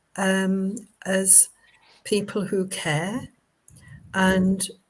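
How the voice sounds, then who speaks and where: Her voice sits at a medium pitch and sounds somewhat breathy. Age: 70s. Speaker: spiritualist medium and minister. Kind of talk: casual interview chat. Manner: hesitant, many fillers.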